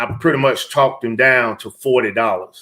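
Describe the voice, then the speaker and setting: A man's bright, sharp voice at medium pitch and a moderate pace. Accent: Southern US. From Georgia, US South. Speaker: reseller livestream host, retired military. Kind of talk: casual live stream chat. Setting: live stream.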